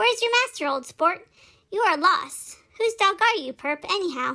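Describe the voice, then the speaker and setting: A woman does a put-on character voice that is squeaky and extremely high in pitch. She keeps a moderate pace. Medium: solo performance. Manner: folksy, informal slang.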